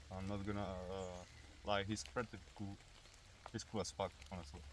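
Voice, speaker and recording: A man speaks with a Czech accent. His pitch sits fairly low. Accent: Czech accent, noticeable. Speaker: airsoft and survival video creator. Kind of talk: outdoor tutorial. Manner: hesitant, many fillers.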